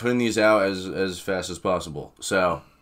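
With a very deep, low pitch, a man speaks at a moderate pace with ordinary pitch variation. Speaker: reaction video host. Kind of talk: casual vlog chat. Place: home room.

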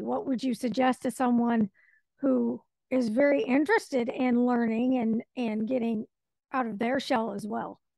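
A woman's high pitch at a fairly slow pace, dry sound with no echo, against a quiet background. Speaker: radio show host. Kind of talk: interview. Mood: friendly, curious. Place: home room. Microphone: studio mic.

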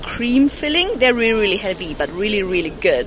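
With music in the background, a woman's voice makes very wide pitch swings in a dry sound with no echo. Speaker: food vlogger. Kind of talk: casual vlog chat. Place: street. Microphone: phone near.

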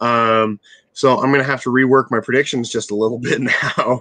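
A man's bright, sharp tone, dry with no echo, over a quiet background. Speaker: remote guest commentator. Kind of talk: interview answer. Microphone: video call.

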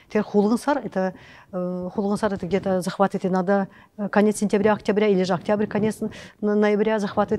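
Speaking at a fairly quick pace in a monotone, flat intonation, a woman with a dark, mellow tone leaves long, frequent pauses. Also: medium pitch for a woman. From Kalmykia. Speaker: ethnographer and lecturer on Kalmyk customs; lecturer on Kalmyk customs. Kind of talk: lecture. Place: classroom. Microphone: lapel.

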